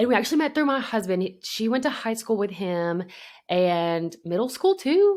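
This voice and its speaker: A woman with a Southern US accent, fairly high pitch, very wide pitch swings and a moderate pace. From US South, Alabama. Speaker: podcast co-host. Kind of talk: casual chat. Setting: remote recording.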